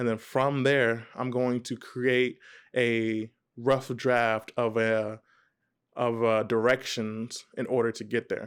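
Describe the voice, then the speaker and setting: In a very clean recording with a silent background, a man with an American accent talks very slowly at a medium pitch, his intonation monotone and flat. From Texas, Dallas area (Irving). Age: 20s. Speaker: business vlogger. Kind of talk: vlog monologue. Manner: halting, many fillers and restarts.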